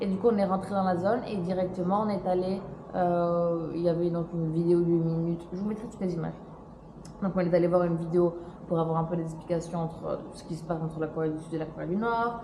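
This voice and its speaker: Over noticeable background noise and audible room echo, a woman speaks very fast in a fairly low voice with fairly even intonation. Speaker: travel vlogger. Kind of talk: casual vlog talk to camera.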